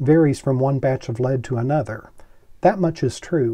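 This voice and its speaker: Against a quiet background, a somewhat breathy voice with a dark, mellow tone shows ordinary pitch variation. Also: man. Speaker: commentator on forensic science. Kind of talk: educational commentary. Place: office.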